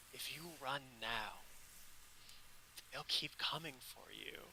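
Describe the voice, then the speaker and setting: Against clear background noise, a man puts on a character voice at a medium pitch, speaking at a fairly slow pace. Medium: actual play. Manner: smooth, persuasive, crackling with power.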